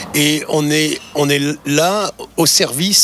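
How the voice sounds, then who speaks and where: The man's pitch moves in a normal way while noticeable background noise plays underneath. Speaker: dubbing actor. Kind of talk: interview answer.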